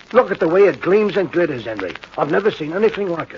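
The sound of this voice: Using a put-on character voice, a man talks fast with a husky, rough edge, a fairly high pitch and big pitch swings.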